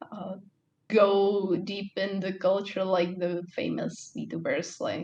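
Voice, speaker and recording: This woman talks at a very slow pace in a Czech accent, with vocal fry. Her intonation is monotone and flat. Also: medium pitch for a woman. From Czech Republic. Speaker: vtuber streamer. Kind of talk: podcast interview. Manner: halting.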